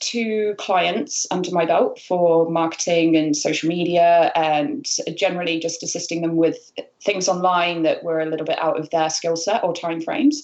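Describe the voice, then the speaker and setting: Using ordinary pitch variation, a woman with a British accent and a fairly low pitch speaks at a moderate pace. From United Kingdom. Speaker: freelance marketer. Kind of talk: interview. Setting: video call.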